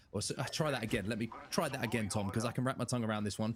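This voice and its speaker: This man talks very fast. He has an English accent. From England. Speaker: esports commentator. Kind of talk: live commentary.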